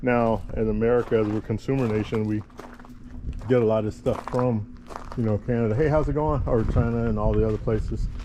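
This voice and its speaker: A man at a fairly quick pace with fairly even intonation, over noticeable background noise. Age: old. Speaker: vlogger, veteran. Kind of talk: travel vlog walkthrough. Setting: outdoors at a beach park. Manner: loud, carrying.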